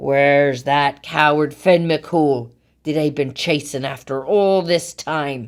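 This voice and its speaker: A woman puts on a character voice with a very deep, low pitch, speaking at a fairly slow pace. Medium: read story. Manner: loud, bellowing.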